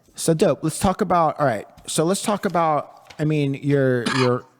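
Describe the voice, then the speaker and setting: This man has a normal speaking voice. He talks at a moderate pace with ordinary pitch variation. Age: 40s. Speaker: podcast host. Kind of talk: casual interview. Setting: studio.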